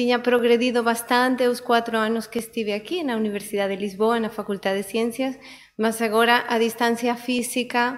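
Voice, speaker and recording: A woman's fairly high voice, flat and monotone, at a moderate pace. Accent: non-native. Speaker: oceanographer. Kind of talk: conference talk.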